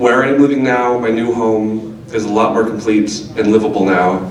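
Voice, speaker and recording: Amid noticeable background noise and audible room echo, a man speaks at a moderate pace with a fairly low pitch and fairly even intonation. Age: 20s. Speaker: reader at a poetry event. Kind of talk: reading aloud.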